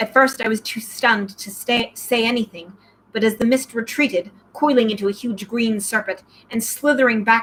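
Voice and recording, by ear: Someone is reading aloud in a natural voice.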